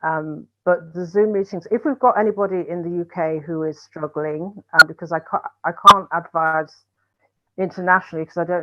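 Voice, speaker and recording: This woman has an ordinary speaking voice, fairly even intonation and a moderate pace. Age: 60s. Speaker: breast cancer survivor and charity founder. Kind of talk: panel discussion.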